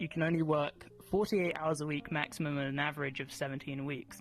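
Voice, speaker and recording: Music plays behind a speaker with a slight British accent. The pace is fairly quick and the intonation fairly even. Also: man. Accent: British, mild. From Britain. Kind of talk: conversational.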